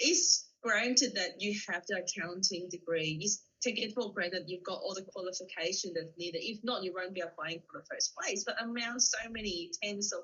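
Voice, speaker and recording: The pace is moderate, with hardly any pauses. Pitch variation is ordinary. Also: woman, medium pitch for a woman. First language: not English. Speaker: author and TEDx speaker. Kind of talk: interview answer.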